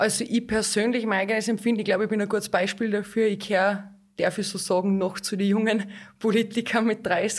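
A woman talks at a fairly quick pace in a monotone, flat intonation. Her pitch is medium, and the recording is very clean with a silent background. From Austria, Hallein (Salzburg). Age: 30s. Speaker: local politician. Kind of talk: interview.

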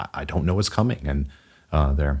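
A man's very deep, low voice comes at a fairly quick pace. Vocal fry runs through his speech. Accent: American. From US South, Texas and Southeast. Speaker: financial advisor. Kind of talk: casual chat.

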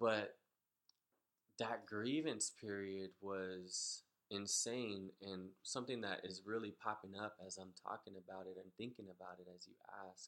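A man with an unremarkable speaking voice talks fairly slowly at a fairly low pitch, with fairly even intonation and big swings in loudness. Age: 30s. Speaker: military veteran. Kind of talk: personal testimony in casual chat.

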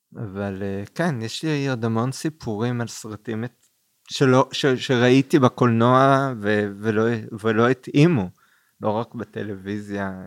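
Speaking very slowly, the man holds a medium pitch with ordinary pitch variation on a very clean recording against a silent background. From Israel, Kfar Saba. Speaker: film festival director. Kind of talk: casual interview.

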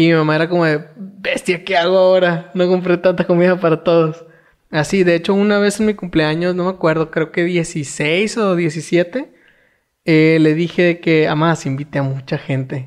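The pace is moderate. The background is quiet. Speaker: podcast co-host. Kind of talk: casual chat.

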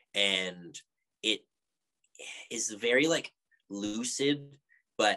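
A man talks with a Canadian accent. The sound is dry and close, with no echo. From Canada, Edmonton. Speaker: musician. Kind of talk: casual chat. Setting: video call.

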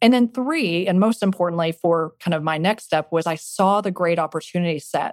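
An ordinary speaking voice with an American accent moves at a fairly quick pace with hardly any pauses and ordinary pitch variation, recorded very cleanly against a silent background with a dry, close sound and no echo. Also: woman, fairly low pitch for a woman. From Texas Panhandle. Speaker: venture capitalist. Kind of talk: interview.

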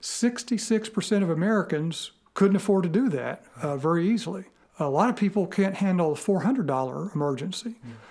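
Lively in intonation and fairly quick in pace, a man speaks at a high pitch. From Western Kentucky, Paducah. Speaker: economics professor. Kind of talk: interview. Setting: in person.

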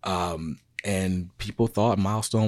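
A man with an American accent talks in a very deep, low voice with ordinary pitch variation, recorded very cleanly against a silent background. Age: 30s. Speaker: podcast host. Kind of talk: solo commentary.

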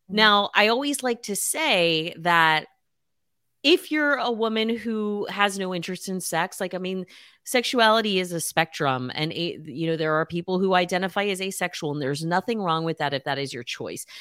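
Bright and sharp in tone, a woman speaks at a medium pitch and a moderate pace with lively intonation. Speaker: nutritional therapist, cancer survivor. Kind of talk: casual interview chat.

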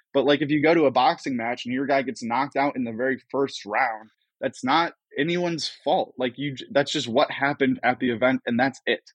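A plain, everyday voice from a man, fairly high in pitch with ordinary pitch variation, at a fairly quick pace. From US Midwest (Cleveland, Ohio). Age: 20s. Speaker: comedy media founder. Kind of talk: casual chat.

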